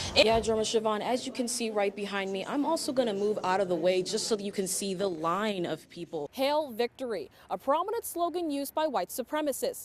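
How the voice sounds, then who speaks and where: With hardly any pauses, a woman talks at a fairly quick pace in a fairly high pitch, her voice making very wide pitch swings over noticeable background noise. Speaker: TV news reporter. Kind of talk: TV news report.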